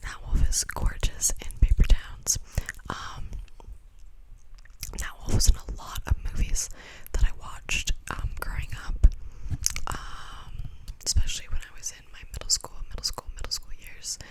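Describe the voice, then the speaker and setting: Whispering with long, frequent pauses, the voice comes through over noticeable background noise. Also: fairly slow pace. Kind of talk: ASMR rambling talk to camera. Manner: whispered; rambling, repetitive.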